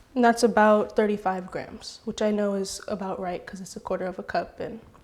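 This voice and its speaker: A fairly quick West Coast accent, fairly even in intonation, over noticeable background noise. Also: woman, big swings in loudness. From California (Oakland). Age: young. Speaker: baker, cooking tutorial host. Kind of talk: tutorial.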